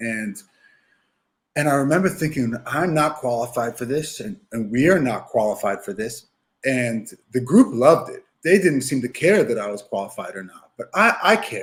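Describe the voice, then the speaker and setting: With an American accent, a man speaks at a fairly high pitch and sounds somewhat breathy. His pitch swings very widely and his loudness swings a lot. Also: moderate pace. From New York City. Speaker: youth soccer coach. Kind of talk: podcast interview.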